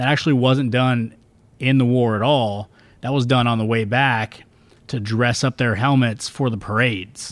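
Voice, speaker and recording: A man has an ordinary speaking voice at medium pitch. He talks at a moderate pace with fairly even intonation. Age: 30s. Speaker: marine sergeant. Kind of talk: panel discussion.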